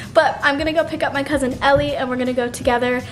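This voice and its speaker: Fairly even intonation over faint music in the background. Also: woman. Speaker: vlogger. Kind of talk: casual vlog chat. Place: home room. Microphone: phone near.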